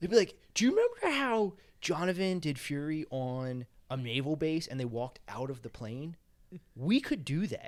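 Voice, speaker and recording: The delivery has lively intonation at a moderate pace. The recording is very clean, with a silent background. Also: man, fairly high pitch for a man. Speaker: apparel business co-founder. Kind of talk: casual chat.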